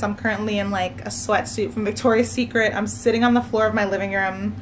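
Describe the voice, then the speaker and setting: Relaxed in tone, a woman with an American accent speaks at a fairly quick pace in a monotone, flat intonation. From US, Maryland. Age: 20s. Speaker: nursing student vlogger. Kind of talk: casual chat. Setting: at home, sitting on living room floor.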